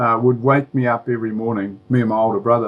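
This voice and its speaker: Speaking with a New Zealand accent, a man keeps a moderate pace. His voice sits at a medium pitch. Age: 60s. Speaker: former preacher and author. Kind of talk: interview. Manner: halting, many fillers.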